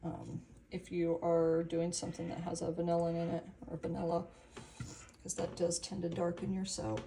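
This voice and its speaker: A woman speaks at a moderate pace with a fairly low pitch. Vocal fry runs through her voice. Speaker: soap maker. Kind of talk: tutorial.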